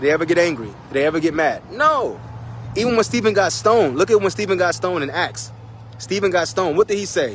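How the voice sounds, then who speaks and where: The man's voice is high in pitch and swings very widely, delivered at a very fast pace. Noticeable background noise and audible room echo fill the recording. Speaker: street preacher. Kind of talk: sermon.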